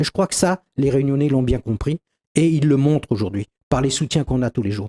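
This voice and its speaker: The voice has a dark, mellow tone and is somewhat breathy, with very wide pitch swings. It moves at a fairly quick pace in a dry, close sound with no echo. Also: man. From Réunion. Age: 60s. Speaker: doctor and local politician. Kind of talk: TV interview.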